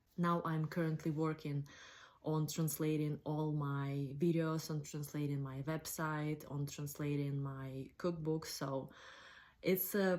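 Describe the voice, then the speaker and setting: A woman speaks at a very slow pace with a non-native accent, her pitch very deep and low and her intonation fairly even, on a very clean recording with a silent background. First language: not English. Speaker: cooking blogger. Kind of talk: casual talk to camera.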